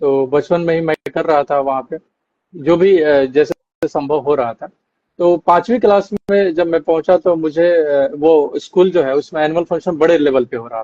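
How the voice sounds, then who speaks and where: With a Bihari accent, a man speaks at a moderate pace in a dark, mellow tone, with ordinary pitch variation, big swings in loudness, and a dry, close sound with no echo. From Bihar, Arrah. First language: Bhojpuri (speaking Hindi). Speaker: actor. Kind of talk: interview. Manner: hesitant fillers.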